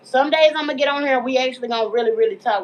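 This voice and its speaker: A woman speaks over noticeable background noise. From Texas, Dallas. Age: 30s. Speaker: mental health advocate, livestream host. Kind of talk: casual livestream talk. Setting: livestream while cooking at home. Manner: casual, informal.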